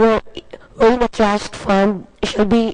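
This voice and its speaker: The woman's intonation is monotone and flat, her pace fairly slow. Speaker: government finance official. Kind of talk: committee hearing testimony. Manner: halting, many repetitions.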